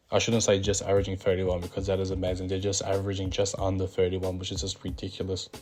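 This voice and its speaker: Over music in the background, a man with a very deep, low pitch talks at a very fast pace with hardly any pauses. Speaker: basketball commentator YouTuber. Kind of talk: casual vlog commentary. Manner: animated.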